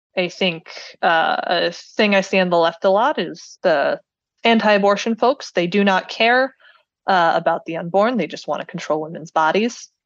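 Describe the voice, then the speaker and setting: An ordinary speaking voice with an American accent, at a moderate pace and with ordinary pitch variation. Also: woman, medium pitch for a woman. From US Midwest, Cleveland, Ohio. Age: 20s. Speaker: software engineer, podcast listener. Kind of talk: casual interview.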